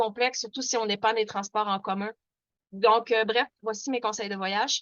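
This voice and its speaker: Fairly high pitch marks this woman's voice. She keeps her intonation fairly even. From Quebec. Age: 40s. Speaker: activist. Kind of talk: webinar presentation. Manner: fast; hesitant, many fillers.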